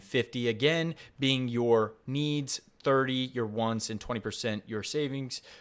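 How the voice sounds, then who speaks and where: On a very clean recording with a silent background, a man speaks in a plain, everyday voice at medium pitch. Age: young. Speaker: podcast host. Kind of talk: solo podcast monologue on a business book.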